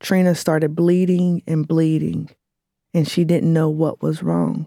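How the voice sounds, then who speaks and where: A woman's dark, mellow tone at a fairly slow pace, with fairly even intonation and a dry, close sound with no echo. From Lexington, Kentucky. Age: 30s. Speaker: writer reading her own essay. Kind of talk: reading aloud.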